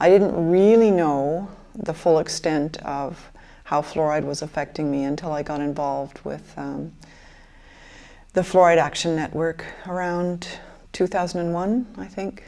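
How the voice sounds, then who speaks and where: A woman speaks at a fairly slow pace with a fairly low pitch and ordinary pitch variation. Her tone is dark and mellow, in a very clean recording with a silent background. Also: big swings in loudness. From Michigan, US Midwest. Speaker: interviewee in documentary. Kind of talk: testimony.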